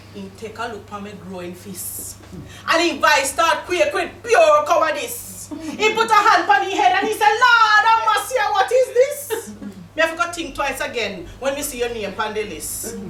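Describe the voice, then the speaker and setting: Projecting a raised voice, a woman with a Jamaican accent speaks at a moderate pace and an extremely high pitch. Her pitch swings very widely over noticeable background noise. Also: hardly any pauses. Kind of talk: poetry reading.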